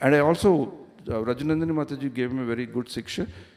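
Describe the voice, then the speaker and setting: He has a normal speaking voice, fairly high in pitch, moving at a fairly quick pace with ordinary pitch variation. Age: 60s. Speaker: visiting speaker at temple. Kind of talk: religious class.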